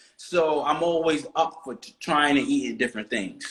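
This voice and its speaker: A man speaks with an East Coast US accent. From US East Coast. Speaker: interview guest. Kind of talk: casual interview.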